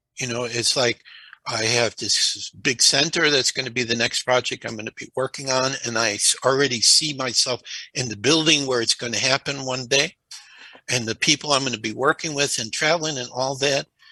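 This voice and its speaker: A man's medium-pitched, fairly even delivery at a moderate pace, an ordinary speaking voice, dry and close with no echo. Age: 60s. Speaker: crystal skull researcher and speaker. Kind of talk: podcast interview.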